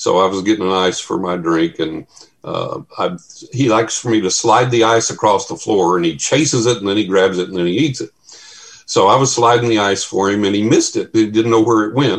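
A man speaks in a Texan accent. His fairly low voice moves at a fairly quick pace. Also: ordinary pitch variation. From West Texas. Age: 60s. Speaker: paranormal researcher. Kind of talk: casual chat.

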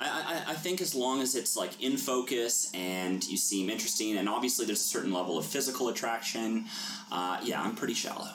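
With noticeable background noise and audible room echo, a man with a Canadian accent speaks at a fairly quick pace and medium pitch, with lively intonation and very even loudness. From Canada, Toronto. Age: 30s. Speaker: banker, dating podcast guest. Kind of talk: casual chat. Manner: halting, many fillers.

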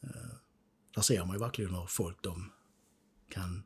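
A man at a fairly slow pace, with fairly low pitch and a somewhat breathy voice. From southern Sweden, Skåne (Ängelholm). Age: 50s. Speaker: peacekeeping war veteran. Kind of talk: interview testimony. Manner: halting.

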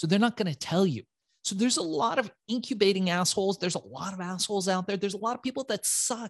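With a high pitch and lively intonation, a man speaks in an intense, animated tone, in a dry, close sound with no echo. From Iran, raised in the United States. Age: 40s. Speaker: entrepreneur. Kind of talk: interview storytelling.

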